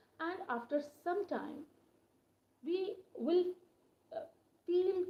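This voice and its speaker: A woman speaks with an Indian accent. Her pace is fairly slow. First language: Hindi. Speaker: English teacher. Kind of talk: live-stream lesson. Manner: hesitant, with fillers.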